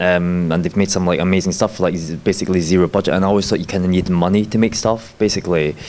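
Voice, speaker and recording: A man talks very fast in a fairly low pitch, with noticeable background noise around him. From Scotland. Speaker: filmmaker. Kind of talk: panel discussion. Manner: hesitant, many fillers.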